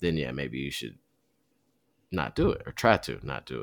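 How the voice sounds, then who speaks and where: On a very clean recording with a silent background, a man with an American accent speaks at a fairly quick pace with vocal fry. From Michigan, US. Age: 30s. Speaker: marathon runner and podcaster. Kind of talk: casual chat. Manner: halting, many fillers.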